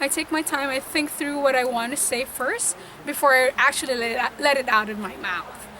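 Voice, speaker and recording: A woman with a high pitch uses a raised, projected voice at a moderate pace with ordinary pitch variation. Noticeable background noise is present. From Philippines, Visayas. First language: Bisaya. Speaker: nurse. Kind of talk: interview testimony.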